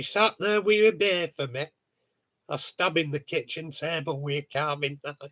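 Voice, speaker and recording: In a northern English accent, a man speaks at a moderate pace with a fairly high pitch, ordinary pitch variation and a bright, sharp tone. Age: 50s. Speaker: model railway hobbyist. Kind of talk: casual chat.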